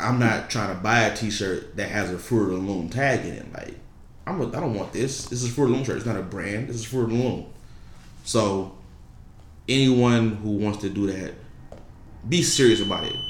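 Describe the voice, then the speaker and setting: Somewhat breathy speech comes at a moderate pace with ordinary pitch variation and long, frequent pauses. Audible room echo surrounds it. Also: man, medium pitch for a man. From Detroit, Michigan. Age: 20s. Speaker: clothing brand founder. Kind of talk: casual interview.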